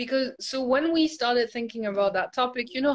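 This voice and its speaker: A woman speaks high in pitch with ordinary pitch variation. The recording is very clean, with a silent background. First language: not English. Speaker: ballet teacher. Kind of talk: casual chat.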